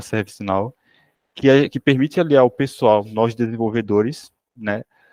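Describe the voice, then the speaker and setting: A man with a medium-pitched voice talks at a moderate pace with ordinary pitch variation, recorded dry and close with no echo against a quiet background. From Sergipe, northeastern Brazil. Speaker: software developer. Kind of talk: self-introduction; technical presentation. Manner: hesitant, many fillers.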